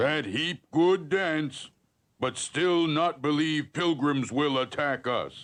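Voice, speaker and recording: A cartoonish character voice delivers its lines at a very slow pace. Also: man, fairly high pitch for a man. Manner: broken clipped speech.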